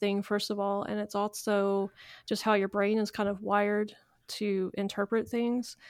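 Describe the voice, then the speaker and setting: A woman speaks at a medium pitch. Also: very clean recording, silent background. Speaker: podcast co-host. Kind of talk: casual chat about Star Trek.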